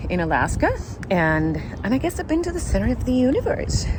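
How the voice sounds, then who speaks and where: Against noticeable background noise, a woman with a Spanish accent speaks at a moderate pace. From Argentina. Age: 40s. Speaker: travel vlogger. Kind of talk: travel vlog narration. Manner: animated.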